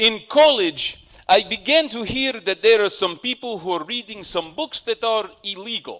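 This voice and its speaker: Raised and projected, a man's high voice has a bright, sharp tone and very wide pitch swings at a fairly slow pace, with a dry, close sound and no echo. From Soviet Union. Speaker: storyteller. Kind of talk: personal storytelling.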